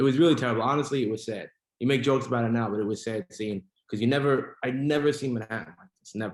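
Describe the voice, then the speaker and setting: A man with a New York accent talks at a very fast pace, his medium pitch showing ordinary variation and his loudness swinging widely. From New York City. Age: 20s. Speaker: restaurant owner. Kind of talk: casual chat.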